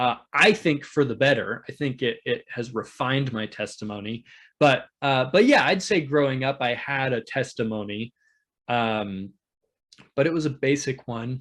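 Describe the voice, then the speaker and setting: In a normal speaking voice with an American accent, a man talks at a moderate pace and medium pitch, with ordinary pitch variation over a quiet background. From US Northwest, Oregon. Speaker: YouTube channel host, church guest. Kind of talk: interview.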